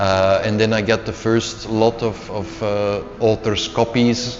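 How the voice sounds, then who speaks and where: A man talks with a Flemish accent in a monotone, flat intonation. The room echo is audible and the background noise is noticeable. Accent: Flemish Dutch accent in English. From Belgium (Flanders, Antwerp). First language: Dutch. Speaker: CEO, leadership coach and author. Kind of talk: interview. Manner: repetitive false starts.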